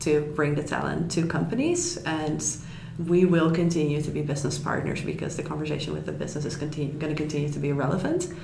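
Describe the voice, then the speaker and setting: A woman with a very deep, low voice talks fairly quickly in a flat monotone. Noticeable background noise runs behind her. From Netherlands. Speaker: head of business recruiting. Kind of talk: interview.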